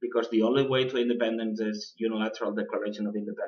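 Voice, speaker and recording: A man's medium-pitched voice with a non-native accent, at a very fast pace. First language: not English. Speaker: political podcast host. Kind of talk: political commentary podcast. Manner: halting, many fillers.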